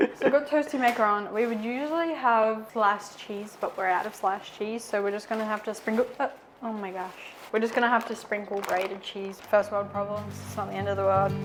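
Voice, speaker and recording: Soft-spoken, a woman with an Australian accent talks at a fairly quick pace. Noticeable background noise runs behind her. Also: fairly high pitch for a woman, ordinary pitch variation. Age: young. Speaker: vlogger. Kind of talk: casual chat.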